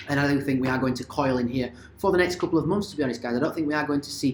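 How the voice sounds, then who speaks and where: A man is speaking. His pitch is medium. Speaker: crypto and stock market commentator. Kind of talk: market analysis video. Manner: fast.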